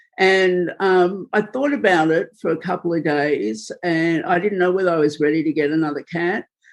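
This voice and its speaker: At a moderate pace, the words are spoken with an Australian accent. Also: woman. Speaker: filmmaker and journalist. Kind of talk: interview.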